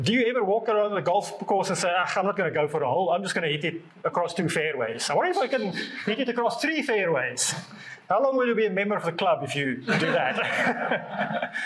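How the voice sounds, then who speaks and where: Over noticeable background noise, the speaker talks at a fairly quick pace with very wide pitch swings. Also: man, high pitch for a man. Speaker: preacher. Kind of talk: sermon. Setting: church service with congregation.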